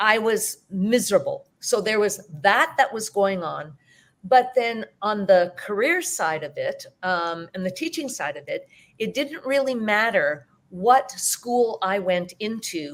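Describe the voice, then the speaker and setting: A woman with a Canadian accent, fairly high in pitch, at a fairly slow pace, with very wide pitch swings and big swings in loudness. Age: 60s. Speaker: teacher and hypnotherapist. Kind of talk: interview.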